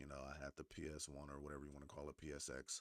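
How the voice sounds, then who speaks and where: Very fast and full of vocal fry, a man's very deep, low voice comes through in a dry, close recording with no echo. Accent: American. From Northern California. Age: 30s. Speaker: gaming streamer. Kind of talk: casual live-stream monologue. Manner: animated.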